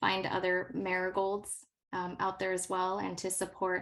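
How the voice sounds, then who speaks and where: A woman with a Californian accent against a quiet background. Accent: General American (California). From Los Angeles, US. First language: not English. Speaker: science educator. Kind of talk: workshop presentation.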